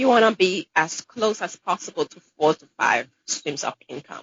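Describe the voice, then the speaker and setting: A woman speaks in a Caribbean accent at a fairly slow pace. Her intonation is lively. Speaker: dentist. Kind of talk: interview.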